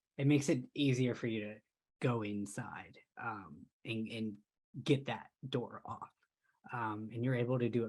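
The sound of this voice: Against a quiet background, the words come in an unforced reading voice. Nothing else intrudes on the recording.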